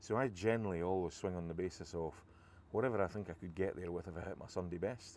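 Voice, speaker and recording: A man with a Scottish accent speaks at a very fast pace. His pitch is very deep and low, with fairly even intonation. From Scotland. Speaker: golf vlogger. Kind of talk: casual commentary while playing golf. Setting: outdoors on a golf course.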